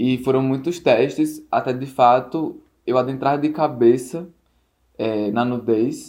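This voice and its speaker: Delivered extremely slowly, the speech keeps a mostly level intonation. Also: man, medium pitch for a man. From Natal, northeastern Brazil. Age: 20s. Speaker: photographer. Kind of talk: interview.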